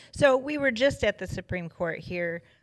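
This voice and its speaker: On a very clean recording with a silent background, a woman speaks with an American accent and lively intonation. It is a normal speaking voice. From Michigan. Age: 50s. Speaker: pro-life ministry leader. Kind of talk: interview testimony.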